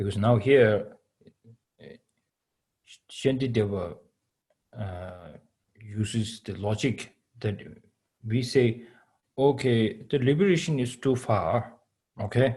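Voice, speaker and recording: Very slowly, with long, frequent pauses, a man with a Tibetan accent speaks in a dark, mellow, somewhat breathy tone at medium pitch, with ordinary pitch variation and big swings in loudness. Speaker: Buddhist teacher. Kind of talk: dharma teaching. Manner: halting English with many fillers.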